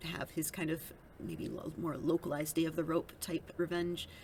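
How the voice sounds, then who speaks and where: A woman's fairly low voice with an American accent and vocal fry, at a moderate pace. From Minnesota. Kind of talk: casual political commentary to camera.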